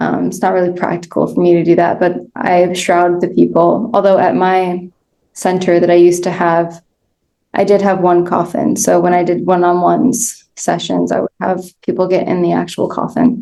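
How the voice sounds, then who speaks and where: A woman speaks in a fairly low pitch with a dark, mellow tone. Her intonation stays fairly even. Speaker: end of life doula. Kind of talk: interview. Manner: slow.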